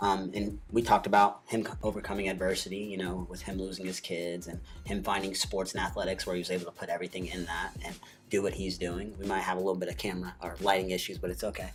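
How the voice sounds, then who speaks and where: A man's very deep, low-pitched voice at a very fast pace. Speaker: podcast co-host. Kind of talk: casual chat. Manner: stutters often.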